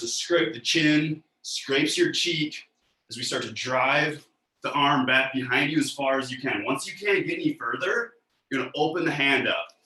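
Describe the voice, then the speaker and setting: This is an unremarkable speaking voice from a man. He speaks at a fairly high pitch with ordinary pitch variation. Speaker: mobility coach. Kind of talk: guided exercise class. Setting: live video call class. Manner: calm.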